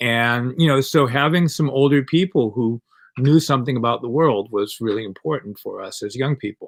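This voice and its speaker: In a very clean recording with a silent background, a man speaks at medium pitch and a moderate pace with ordinary pitch variation. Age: 60s. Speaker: comic artist and activist. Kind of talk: interview. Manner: hesitant, many fillers.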